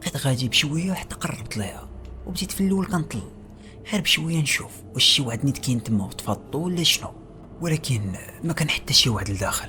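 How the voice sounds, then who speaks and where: With a Moroccan accent, a man talks at a fairly quick pace, his pitch swinging very widely over noticeable background noise. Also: fairly high pitch for a man. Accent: Moroccan Darija. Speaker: horror storyteller. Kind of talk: horror story narration.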